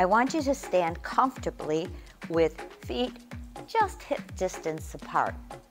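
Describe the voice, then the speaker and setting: The speech moves at a fairly slow pace while music plays clearly in the background. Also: woman. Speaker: fitness instructor. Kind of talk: tutorial. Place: gym. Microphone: lapel.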